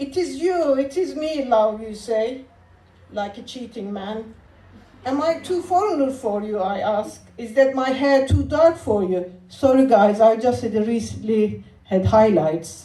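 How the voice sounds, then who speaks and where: A woman with a Turkish accent talks at a fairly slow pace in a fairly high pitch, her intonation lively and her loudness swinging widely, with noticeable background noise and audible room echo. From Turkey. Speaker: comedian and spoken word performer. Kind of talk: spoken word poetry performance with stand-up.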